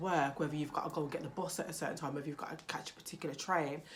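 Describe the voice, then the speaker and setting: Loud, a woman with a British accent speaks amid audible room echo and noticeable background noise. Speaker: parenting vlogger. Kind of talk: casual vlog talk to camera.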